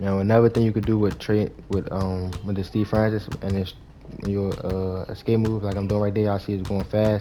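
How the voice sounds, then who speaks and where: Moving at a fairly quick pace, a man speaks in a fairly low pitch with monotone, flat intonation. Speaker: gaming YouTuber. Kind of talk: gameplay tutorial. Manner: fast.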